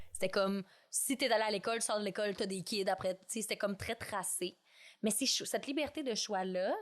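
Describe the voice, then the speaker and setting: At a fairly quick pace, a woman with a Quebec accent speaks in a medium pitch with ordinary pitch variation over a quiet background. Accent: Québécois French. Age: 20s. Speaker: podcast guest. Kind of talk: casual chat. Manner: animated.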